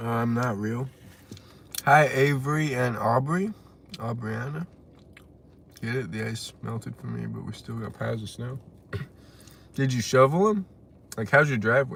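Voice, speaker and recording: A man with an American accent, big swings in loudness, long and frequent pauses, ordinary pitch variation and noticeable background noise. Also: medium pitch for a man, moderate pace. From West Texas. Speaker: live streamer. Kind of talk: casual live stream chat, reading comments.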